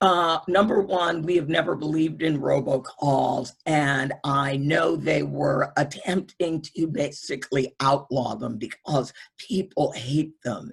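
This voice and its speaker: Speaking at a fairly slow pace, a woman uses a very deep, low pitch with vocal fry. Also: ordinary pitch variation. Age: 60s. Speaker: voting rights organizer. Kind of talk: webinar Q&A answer.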